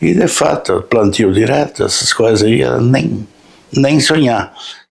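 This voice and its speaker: Against noticeable background noise, a man talks at a fairly slow pace with very even loudness. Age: 70s. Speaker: local resident interviewee. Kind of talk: interview. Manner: halting.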